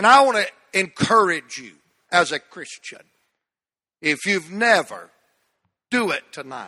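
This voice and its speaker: A man with a Southern US accent speaks in a raised, projected voice at a fairly slow pace. His pitch is high, his intonation lively, and his tone bright and sharp. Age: 60s. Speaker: pastor. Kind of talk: sermon. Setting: church.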